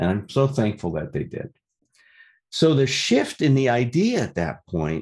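With a Chicago accent, a man speaks fairly slowly, his pitch swinging very widely. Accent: Chicago American. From US Midwest, Chicago. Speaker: recovery meeting speaker. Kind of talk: testimony. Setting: meeting room with audience.

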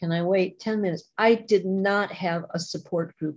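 Somewhat breathy and with an American accent, a woman speaks at a fairly slow pace in a monotone, flat intonation. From US Midwest. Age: 60s. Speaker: recovering alcoholic speaker. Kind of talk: testimony. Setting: video call.

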